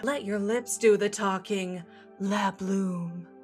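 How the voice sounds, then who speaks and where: A put-on character voice, female-sounding, at medium pitch and a very slow pace, with clear music in the background. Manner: cheesy, overdramatic, salesy.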